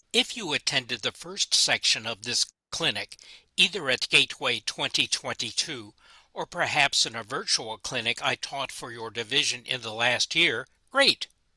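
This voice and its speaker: Medium in pitch, a man's voice has a bright, sharp tone and ordinary pitch variation at a moderate pace. The sound is dry and close, with no echo. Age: 70s. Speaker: model railroad hobbyist giving a clinic. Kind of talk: scripted narration of a prerecorded video; online clinic presentation. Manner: halting, many fillers.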